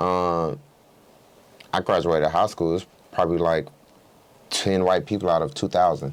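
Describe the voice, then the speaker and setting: With an American accent, a man with a very deep, low voice talks at a moderate pace, his loudness very even, his pitch varying in an ordinary way, and long pauses coming often. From US South, Clayton County near Atlanta, Georgia. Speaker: state legislator. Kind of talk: interview.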